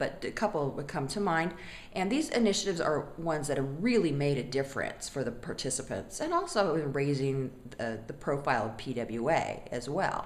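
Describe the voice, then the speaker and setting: A woman speaks with an American accent and a very deep, low pitch. Audible room echo surrounds her voice. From US West Coast. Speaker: non-profit board member. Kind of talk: testimonial. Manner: conversational, some fillers.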